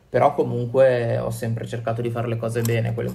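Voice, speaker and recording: With audible room echo, a man speaks in a somewhat breathy, medium-pitched voice and a flat monotone. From Italy, Genoa (Liguria). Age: 20s. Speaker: illustrator and cartoonist. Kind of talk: interview.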